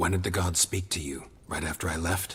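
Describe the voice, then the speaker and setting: Growling in a put-on character voice, a man speaks at a moderate pace with a very deep, low pitch. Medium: video game. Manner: terse, dry.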